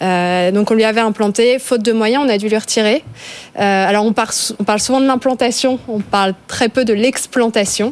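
Against noticeable background noise, a woman with a fairly high pitch talks at a fairly quick pace with fairly even intonation. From France, Ardennes. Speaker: tech consultant. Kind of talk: panel discussion.

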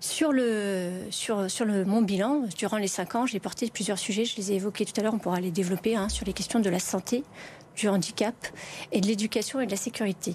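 A somewhat breathy woman talks at medium pitch and a fairly quick pace, with ordinary pitch variation. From France, Lyon area (Vénissieux, Bron). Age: 40s. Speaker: member of parliament and nurse. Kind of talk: televised political debate.

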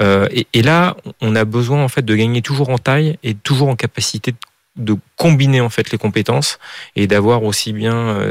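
Recorded dry and close with no echo, a man at medium pitch speaks at a fairly slow pace with ordinary pitch variation. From Paris area, France. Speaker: entrepreneur. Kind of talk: interview. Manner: halting, many repetitions.

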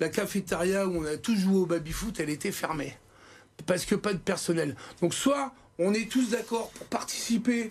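Speaking at a moderate pace, the man has a high voice with ordinary pitch variation. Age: 50s. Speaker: restaurant chef. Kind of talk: TV studio interview. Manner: animated, halting with many repetitions.

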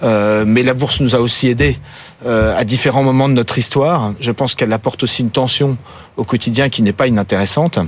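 A man with a plain, everyday voice speaks at a fairly quick pace in a medium pitch with ordinary pitch variation. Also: very even loudness. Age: 50s. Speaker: spirits company CEO. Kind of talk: interview. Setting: studio.

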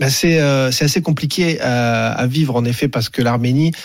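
A man with an unremarkable speaking voice at a medium pitch, his intonation fairly even. The recording is very clean, with a silent background. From Paris suburbs, France. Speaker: sports journalist. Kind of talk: radio interview.

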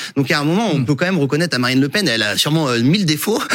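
Against noticeable background noise, a man speaks in a fairly high voice with lively intonation. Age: 40s. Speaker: political journalist. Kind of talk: televised debate.

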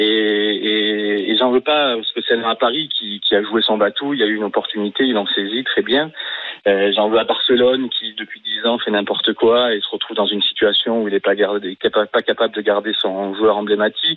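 A man talks at a moderate pace with a medium pitch. Noticeable background noise runs underneath. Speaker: radio caller, football fan. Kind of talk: radio call-in. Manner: subdued, not upbeat.

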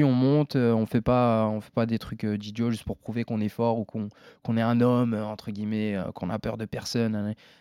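The recording is very clean and dry, with a silent background and a close sound with no echo. A man speaks at a moderate pace and medium pitch in a dark, mellow tone. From France. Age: 20s. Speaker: MMA fighter. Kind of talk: casual interview.

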